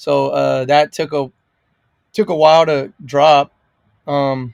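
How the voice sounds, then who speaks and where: A man with an American accent talks at a fairly slow pace with fairly even intonation. The very clean recording has a silent background and a dry, close sound with no echo. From California's Imperial Valley. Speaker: singer-songwriter. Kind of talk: interview. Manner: loud; casual, with fillers.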